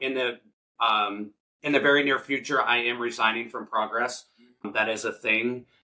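Bright and sharp in tone, a man talks at a moderate pace with ordinary pitch variation. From US Midwest, central Illinois. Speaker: podcast host, recovering addict and outreach worker. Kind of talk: personal testimony in interview.

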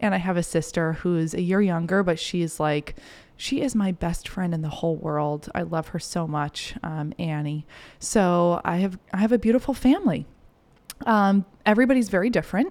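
In a very clean recording with a silent background, a woman talks at a moderate pace in a fairly low voice with ordinary pitch variation. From US Northeast, Maine. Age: 20s. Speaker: podcast host, self-mastery mentor. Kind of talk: solo monologue, personal story. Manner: animated.

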